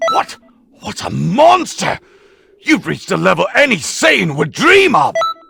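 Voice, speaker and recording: A put-on character voice from a man, high-pitched and moderately paced. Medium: video game. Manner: brash, aggressive.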